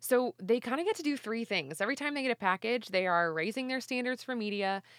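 A woman's voice, a normal speaking voice, with lively intonation, a fairly quick pace and a dry, close sound with no echo. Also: very clean recording, silent background. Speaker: announcer. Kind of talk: promo read.

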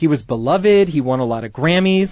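A man talks in an animated tone. His voice is somewhat breathy, with very wide pitch swings. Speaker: comedy podcast host and actor. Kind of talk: casual comedic chat with sketches. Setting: studio.

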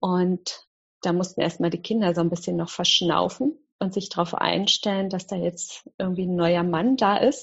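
Somewhat breathy and medium-pitched, a woman talks at a moderate pace with ordinary pitch variation. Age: 50s. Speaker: mindfulness teacher. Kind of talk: interview.

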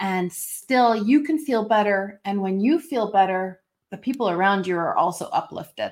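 A woman with an unremarkable speaking voice and a Canadian accent talks at a moderate pace and medium pitch with lively intonation, in a very clean recording with a silent background. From Canada. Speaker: intuitive coach. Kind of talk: casual interview chat.

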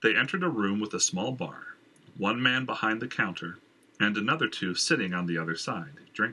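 The speaker does plain reading aloud.

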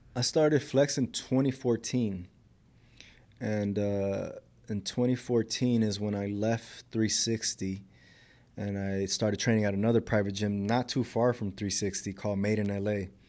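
A man with an American accent, fairly low pitch and a dark, mellow tone at a moderate pace, on a very clean recording with a silent background. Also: fairly even intonation. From South Central Los Angeles. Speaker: fitness trainer. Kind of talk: casual interview.

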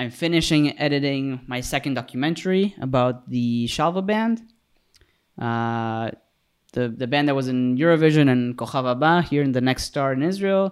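A man with an unremarkable speaking voice, fairly high in pitch, with ordinary pitch variation at a moderate pace. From Mexico, raised partly in Canada. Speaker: cinematographer and director. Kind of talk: casual chat. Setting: video call.

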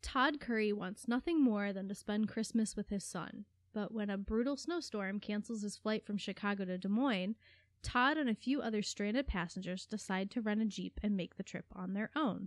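An animated woman talks at a moderate pace and medium pitch with ordinary pitch variation, the sound dry and close with no echo. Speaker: librarian and podcast co-host. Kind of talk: casual chat; literary audiobook reading of a book blurb. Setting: studio podcast. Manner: animated, laughs often; reads blurbs in a clear, measured, storytelling tone.

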